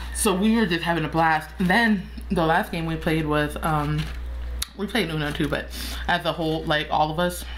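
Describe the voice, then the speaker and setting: At a moderate pace, the voice is heard over light background noise. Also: woman. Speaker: mukbang vlogger. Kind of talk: casual vlog chat. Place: home room. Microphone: phone near.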